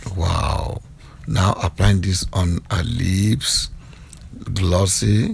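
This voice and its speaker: In a Nigerian accent, a man speaks with a very deep, low pitch over noticeable background noise. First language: Yoruba. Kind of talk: playful voiceover commentary on makeup video.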